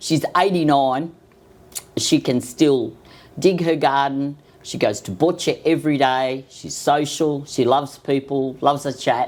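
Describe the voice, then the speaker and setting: An Australian accent marks this woman's very deep, low voice. She talks at a fairly slow pace with ordinary pitch variation. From Sydney, Australia. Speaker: cancer patient. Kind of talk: casual interview.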